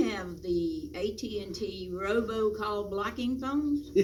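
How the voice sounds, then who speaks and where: Speaking very slowly with lively intonation, a woman with a Virginia accent uses a fairly high pitch, with audible room echo and noticeable background noise. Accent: rural Southern US (Virginia). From US South, rural Virginia (Patrick County). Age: 70s. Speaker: interviewee, local volunteer. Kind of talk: oral history interview.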